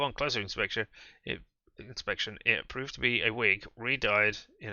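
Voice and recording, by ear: Someone is reading aloud in a natural voice while the background stays quiet.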